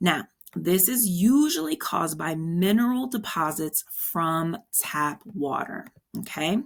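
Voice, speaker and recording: With lively intonation, a woman talks in a somewhat breathy voice. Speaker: exam prep instructor. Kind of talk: tutorial. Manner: casual, encouraging.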